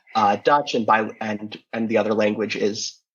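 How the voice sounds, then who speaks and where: At a moderate pace, a man with an American accent talks in a plain, everyday voice at a medium pitch. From United States. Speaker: podcast co-host. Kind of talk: casual interview chat.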